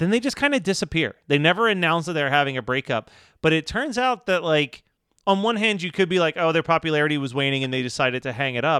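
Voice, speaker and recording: A man with a Philadelphia accent, a fairly high, bright, sharp voice, lively intonation and a very fast pace, recorded dry and close with no echo on a very clean track with a silent background. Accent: Delco Philly. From Delaware County, Philadelphia area. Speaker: podcast co-host. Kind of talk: casual chat.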